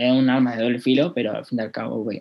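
A man speaks at a medium pitch. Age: 20s. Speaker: e-commerce entrepreneur. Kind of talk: casual interview.

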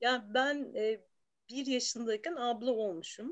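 A woman's fairly high voice at a very slow pace. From Istanbul, Turkey. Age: 40s. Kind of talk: casual chat.

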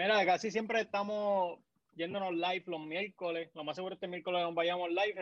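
Fairly quick speech comes from a man with a high pitch. His intonation stays fairly even. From Puerto Rico, Naguabo. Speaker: sports podcaster. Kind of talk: casual chat.

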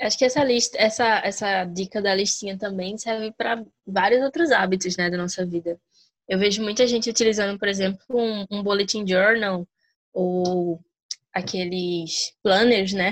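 A woman speaks in a normal speaking voice at a moderate pace and medium pitch. Her intonation stays fairly even, and the sound is dry and close with no echo. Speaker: podcast host. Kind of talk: casual chat.

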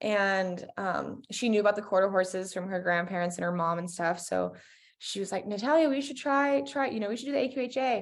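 A woman speaks in a normal speaking voice at a medium pitch, moving at a fairly quick pace with lively intonation. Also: quiet background. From US West, Colorado. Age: 20s. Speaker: equestrian champion. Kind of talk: casual chat.

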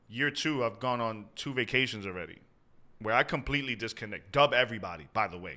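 A man at medium pitch, very fast, with lively intonation, a bright, sharp tone and big swings in loudness. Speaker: pastor. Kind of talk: casual podcast interview.

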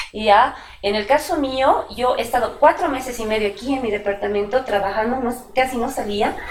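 A woman's fairly high voice has ordinary pitch variation. Noticeable background noise runs beneath it. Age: 40s. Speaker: illustrator and comic artist. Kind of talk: interview. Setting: at her home studio.

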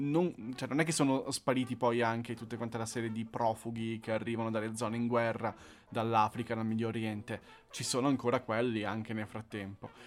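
The speech comes at a fairly quick pace in monotone, flat intonation. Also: man, medium pitch for a man. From northern Italy, Monza. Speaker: podcast co-host. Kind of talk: casual chat.

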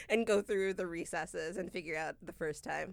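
A loud woman's voice on a very clean recording with a silent background. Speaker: podcast host and business executive. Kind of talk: casual chat podcast. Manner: loud, hearty laugh.

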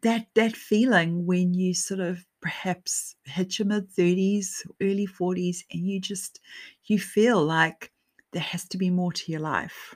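Over a silent background in a very clean recording, the speech comes at a very slow pace and sounds somewhat breathy. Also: woman. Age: 40s. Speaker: podcast host and author. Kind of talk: solo podcast monologue. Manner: conversational with frequent fillers.

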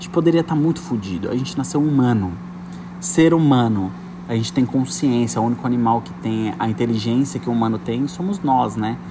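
Noticeable background noise accompanies a man at a medium pitch. He talks at a fairly quick pace with lively intonation. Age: 30s. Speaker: podcast host. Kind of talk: casual monologue. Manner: animated.

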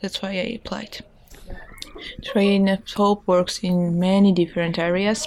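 Over noticeable background noise, a woman speaks at a medium pitch and a very slow pace, monotone and flat, with long, frequent pauses. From Georgia. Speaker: volunteer. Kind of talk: interview. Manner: halting.

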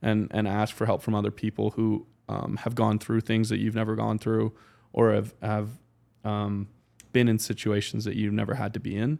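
A man speaks in a Canadian accent with a fairly low pitch, a dark, mellow tone and monotone, flat intonation. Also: moderate pace, very clean recording, silent background. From Calgary, Canada. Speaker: professional football quarterback. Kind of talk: casual interview chat.

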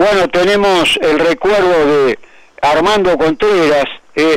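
A man speaks at a fairly slow pace in a high voice with ordinary pitch variation. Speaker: motorsport historian. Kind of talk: radio segment, historical recollections.

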